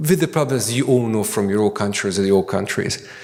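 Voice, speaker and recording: A man at a medium pitch with a Hungarian accent, with audible room echo and noticeable background noise. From Hungary. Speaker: architect and academic. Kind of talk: conference lecture. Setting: conference hall with audience. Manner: halting, many fillers and repetitions.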